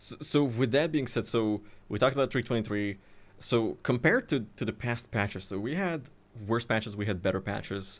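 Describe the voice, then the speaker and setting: With a non-native accent, a man speaks at a fairly quick pace in a medium pitch. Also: ordinary pitch variation. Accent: non-native accent, lighter than before. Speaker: gaming content creator and show host. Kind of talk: casual chat. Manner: halting, many restarts and fillers. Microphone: good studio equipment, foam behind.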